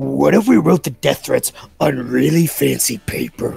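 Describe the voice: A man puts on a character voice and keeps a moderate pace.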